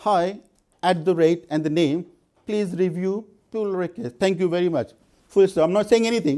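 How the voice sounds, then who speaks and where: In a non-native accent, a man speaks at a moderate pace with a high pitch, a dark, mellow tone and ordinary pitch variation. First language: not English. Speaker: conference speaker. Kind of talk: conference talk. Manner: halting, with frequent repetitions.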